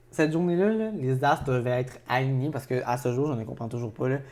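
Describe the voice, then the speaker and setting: A man's dark, mellow voice in a Quebec accent, medium in pitch, with ordinary pitch variation at a fairly quick pace. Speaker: podcast co-host. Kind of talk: casual chat.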